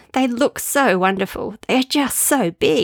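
A woman speaks with an Australian accent and lively intonation. The recording is very clean, with a silent background and a dry, close sound with no echo. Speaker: podcaster and author. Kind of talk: reading aloud from her travel diary book.

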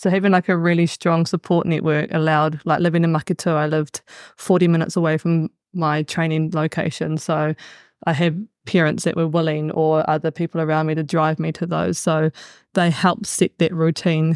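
A woman with a New Zealand accent and a very deep, low pitch talks at a fairly quick pace with monotone, flat intonation, the sound dry and close with no echo. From New Zealand, Bay of Plenty. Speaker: high school PE teacher and sports coach. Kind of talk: casual panel discussion.

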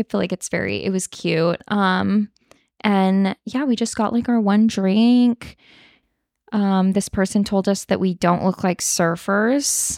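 With an American accent, a woman talks at a fairly slow pace and medium pitch, her intonation fairly even and loudness very even, in a very clean, dry, close recording with no echo and a silent background. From Northern California, Sacramento area. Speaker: podcast co-host. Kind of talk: casual chat. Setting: recording in person at friend's place.

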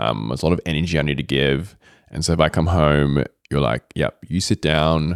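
With an Australian accent, a man speaks in a very deep, low pitch with vocal fry. His pace is fairly quick, in a dry, close sound with no echo. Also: ordinary pitch variation. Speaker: guest, host's fiancé, yoga practitioner. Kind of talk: casual conversation.

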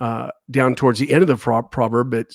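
Dry and close with no echo, a man with an ordinary speaking voice talks at a moderate pace and medium pitch with ordinary pitch variation. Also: very clean recording, silent background. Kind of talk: casual devotional talk with prayer. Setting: studio.

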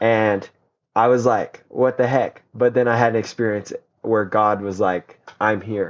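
The man's intonation is monotone and flat. His loudness stays very even throughout. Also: medium pitch for a man. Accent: American. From Colorado. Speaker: teacher. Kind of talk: testimony. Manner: halting.

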